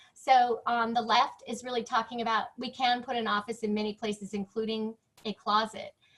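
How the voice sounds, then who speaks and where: Here a woman speaks at a moderate pace. Her pitch is fairly high. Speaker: interior designer. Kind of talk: presentation. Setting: video call. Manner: loud.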